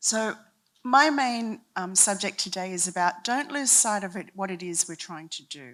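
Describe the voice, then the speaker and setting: A woman with an Australian accent speaks at a medium pitch, her intonation lively and her loudness swinging widely. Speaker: university leader speaking at a summit. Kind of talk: conference talk. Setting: stage with audience, handheld mic. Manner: slow, deliberate.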